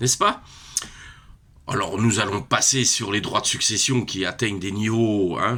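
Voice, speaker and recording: On a very clean recording with a silent background, a man speaks at a fairly slow pace in a bright, sharp tone. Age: 60s. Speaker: retiree. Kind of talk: casual vlog rant. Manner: hesitant, many fillers.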